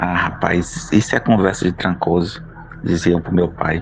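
Noticeable background noise sits behind a man with a very deep, low pitch. He speaks at a fairly slow pace with ordinary pitch variation. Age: 30s. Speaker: teacher and writer. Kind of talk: reading aloud of his own short story.

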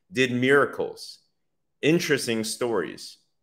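This man's pitch varies in an ordinary way. The recording is very clean, its background silent. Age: 30s. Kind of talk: livestreamed Bible study.

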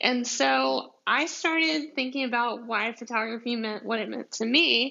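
With a strong Southern US accent, a woman speaks at a fairly slow pace in a fairly high pitch that swings very widely. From deep south Georgia, US. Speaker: podcast host, commercial photographer. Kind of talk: casual solo podcast monologue. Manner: chatty, laughing, rambling.

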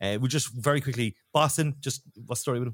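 A man with a Cork accent at a very fast pace, ordinary pitch variation, on a very clean recording with a silent background. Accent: Cork Irish. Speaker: podcast host and football fan. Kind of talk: casual chat podcast.

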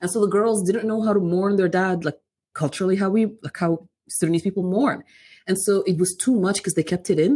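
A woman's somewhat breathy, dark, mellow voice at a medium pitch and fairly quick pace, on a very clean recording with a silent background. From Sudan, raised in Calgary, Canada from age nine. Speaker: community worker. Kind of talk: casual interview. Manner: fast, rambling.

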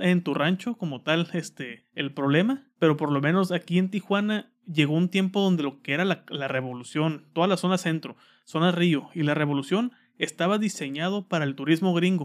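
Pitched high, a man speaks with a Mexican accent and ordinary pitch variation. His pace is moderate, with hardly any pauses. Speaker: podcast host. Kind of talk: casual chat.

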